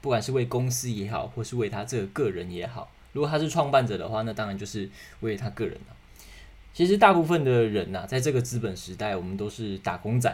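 Speaking at a fairly quick pace with a Taiwanese accent, a man uses lively intonation at a medium pitch, sounding somewhat breathy. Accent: Taiwanese Mandarin. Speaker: podcast host. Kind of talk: solo podcast monologue. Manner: casual, many fillers.

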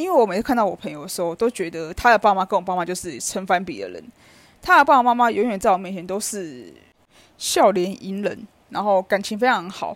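A woman talks at a fairly quick pace and a medium pitch, with vocal fry, lively intonation and big swings in loudness. The recording is very clean, with a silent background. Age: 30s. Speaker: podcaster. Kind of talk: personal monologue. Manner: casual.

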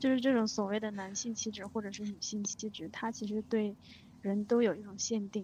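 A fairly high-pitched woman speaks fairly quickly in a flat monotone, somewhat breathy. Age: young. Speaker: podcast co-host. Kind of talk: casual chat.

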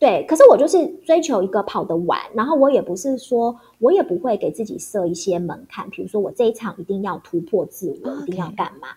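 At a fairly quick pace, a woman with a fairly high pitch makes very wide pitch swings. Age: 40s. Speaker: former TV news anchor. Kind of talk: casual interview chat.

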